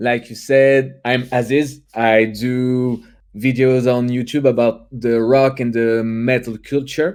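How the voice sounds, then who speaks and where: A man's medium-pitched voice in a French accent, moving at a very slow pace. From France. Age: 20s. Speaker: youtuber and musician. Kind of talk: casual chat. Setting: livestream. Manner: halting.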